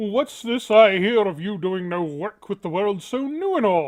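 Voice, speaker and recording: Someone speaks in a put-on character voice at a middle pitch and a moderate pace. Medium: read story. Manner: wry, authoritative.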